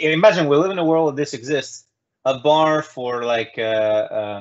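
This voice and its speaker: At a moderate pace, a man with a non-native accent and fairly high pitch speaks with lively intonation. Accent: specific non-native accent in English. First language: not English. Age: 30s. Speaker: talk show host. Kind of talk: casual chat. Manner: halting, many fillers and repeats.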